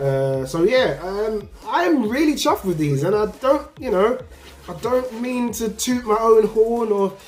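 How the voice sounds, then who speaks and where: A man with an English accent speaks at a high pitch and a fairly slow pace, with very wide pitch swings. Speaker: sneaker youtuber. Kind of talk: casual vlog review. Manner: animated.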